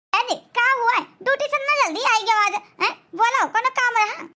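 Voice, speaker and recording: A woman puts on a cartoonish character voice at an extremely high pitch, talking fairly quickly with very even loudness. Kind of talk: rustic Awadhi comedy cartoon. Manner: excitable, repetitive, urgent.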